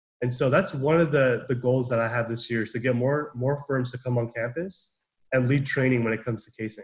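Somewhat breathy and with an American accent, a man talks at a fairly quick pace with hardly any pauses, a medium pitch and fairly even intonation. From Southern California. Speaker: business student, club president. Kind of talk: casual interview. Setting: video call.

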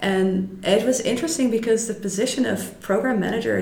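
A woman talks at a fairly quick clip. Background noise is noticeable behind her. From Netherlands. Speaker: head of business recruiting. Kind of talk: interview.

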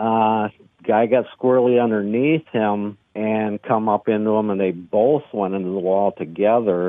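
A man speaks at a fairly slow pace with an Upper Midwest accent. His fairly low voice keeps a fairly even intonation. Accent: Upper Midwest (Minnesota). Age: 60s. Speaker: race car driver. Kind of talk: casual interview.

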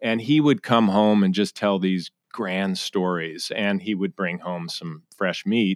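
In an ordinary speaking voice with an American accent, the speaker goes at a fairly slow pace with hardly any pauses and ordinary pitch variation, the sound dry and close with no echo. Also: man, fairly low pitch for a man. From US Northeast, Connecticut. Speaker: guest. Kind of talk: interview.

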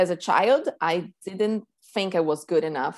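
On a very clean recording with a silent background, a woman with a Portuguese accent speaks at a fairly slow pace and medium pitch. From Brazil, São Paulo. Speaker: reading teacher. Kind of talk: casual interview.

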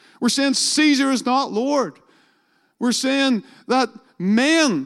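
Speaking at a fairly slow pace, a man with a Northern Irish accent shows ordinary pitch variation. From Northern Ireland. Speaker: pastor. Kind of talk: sermon. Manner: halting.

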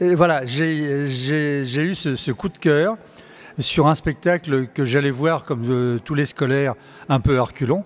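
Talking at a very slow pace, a man with a fairly high pitch uses ordinary pitch variation. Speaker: regular theatregoer. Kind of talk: casual chat.

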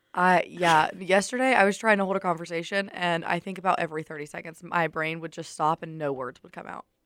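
A woman with a Southern US accent talks at a very fast pace with hardly any pauses, her fairly low voice showing ordinary pitch variation. Her loudness swings widely, and the very clean recording has a silent background. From US South, Alabama. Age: 20s. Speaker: college radio host. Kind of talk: casual chat. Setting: studio.

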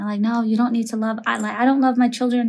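With an American accent, a woman speaks in a fairly high pitch and a flat, monotone delivery. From Minneapolis, Minnesota (Somali family). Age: 30s. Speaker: elementary school principal. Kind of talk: interview conversation.

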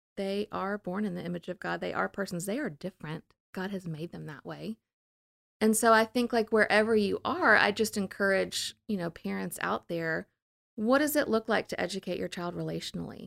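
A woman with an American accent speaks at a fairly quick pace in a plain, everyday voice, medium in pitch with ordinary pitch variation and big swings in loudness. The recording is very clean with a silent background and a dry, close sound with no echo. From US South, New Orleans. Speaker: school founder and educator. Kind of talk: casual interview.

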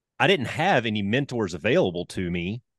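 Lively intonation marks this man's speech in a Southern US accent, delivered at a fairly quick pace. The sound is dry and close with no echo, and the background is quiet. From Alabama, US South. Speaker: retired fighter pilot. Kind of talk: casual interview.

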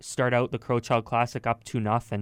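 A man speaks at a moderate pace and medium pitch. He has an ordinary speaking voice, captured with a dry, close sound and no echo. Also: very clean recording, silent background. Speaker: sports podcast host. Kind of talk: casual sports banter.

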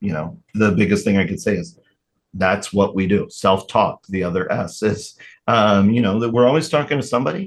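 Against a quiet background, a man with a plain, everyday voice and fairly low pitch speaks at a moderate pace with lively intonation. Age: 40s. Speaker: guest sharing mental health story. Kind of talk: interview. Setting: studio.

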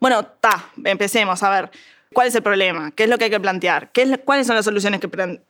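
A woman talks at a very fast pace. Her medium pitch shows ordinary pitch variation. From Uruguay, Montevideo. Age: 20s. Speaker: agronomy student. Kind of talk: interview conversation. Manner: halting.

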